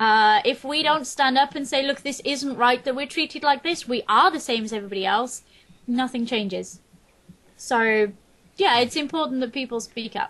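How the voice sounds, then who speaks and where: Loud and high-pitched, a woman talks at a moderate pace with lively intonation. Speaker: game streamer. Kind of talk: interview.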